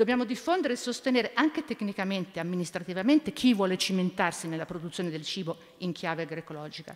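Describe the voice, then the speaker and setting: Over a quiet background, a woman speaks at a very fast pace with lively intonation. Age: 70s. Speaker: environmental activist, former politician; former politician. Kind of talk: panel talk. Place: hall. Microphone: podium.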